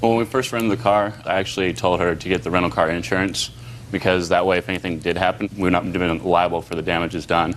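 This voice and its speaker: Someone with an American accent speaks at a very fast pace with fairly even intonation. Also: man, very deep, low pitch for a man. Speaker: defendant. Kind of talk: courtroom testimony. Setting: TV courtroom. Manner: fast-talking.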